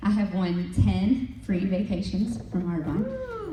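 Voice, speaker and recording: A woman speaks over noticeable background noise. Audible room echo surrounds her voice. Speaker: direct sales leader. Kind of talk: motivational talk. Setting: stage with audience. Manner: animated.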